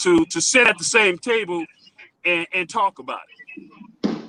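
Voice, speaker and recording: In a raised, projected voice, a man speaks at a moderate pace with very wide pitch swings. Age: 60s. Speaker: radio guest, community event organizer. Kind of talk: casual radio chat. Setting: radio broadcast.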